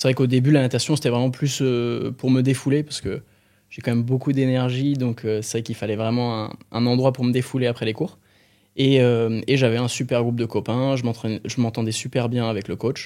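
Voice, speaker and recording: With a very clean recording and silent background, a man speaks at a fairly quick pace in a monotone, flat intonation. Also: medium pitch for a man. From southern France, Aix-en-Provence. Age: 20s. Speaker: professional swimmer. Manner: hesitant, many fillers.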